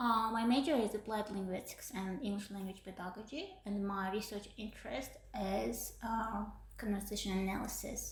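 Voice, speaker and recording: With vocal fry and fairly even intonation, a woman speaks at a moderate pace and medium pitch amid audible room echo. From Uzbekistan. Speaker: PhD student. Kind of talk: podcast interview. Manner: hesitant, many fillers.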